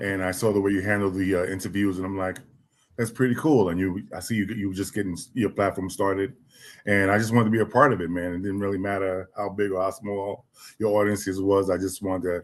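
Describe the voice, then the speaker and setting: An American man talks at a very fast pace with a fairly low pitch. His intonation is monotone and flat. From New York City. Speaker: music executive. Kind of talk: interview. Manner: quiet.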